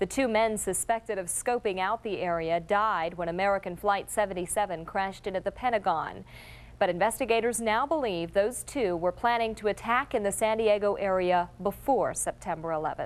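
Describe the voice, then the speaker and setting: In a very clean recording with a silent background, a woman with an unremarkable speaking voice talks at a fairly quick pace at medium pitch, with ordinary pitch variation and hardly any pauses. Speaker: news anchor. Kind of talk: local TV newscast anchor read.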